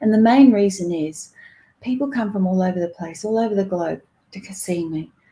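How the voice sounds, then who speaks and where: Dark and mellow in tone, a somewhat breathy voice with an Australian accent moves at a fairly quick pace. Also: woman. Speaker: psychic reader. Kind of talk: livestream talk. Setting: live video stream.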